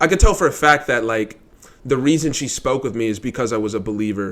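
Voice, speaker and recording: This man talks at a medium pitch with ordinary variation in it. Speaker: vlogger, insurance salesman. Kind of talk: casual monologue vlog. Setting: living room at home. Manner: fast.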